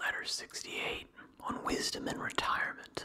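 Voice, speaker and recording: A man is whispering. His pace is fairly slow. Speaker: ASMR creator. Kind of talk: ASMR reading of philosophy. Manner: whispered. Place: home room. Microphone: studio mic.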